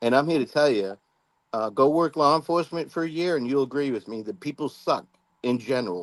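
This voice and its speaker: A man with a fairly high pitch and an ordinary speaking voice moves at a fairly quick pace, his pitch varying in an ordinary way. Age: 60s. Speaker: law enforcement officer. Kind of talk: casual chat.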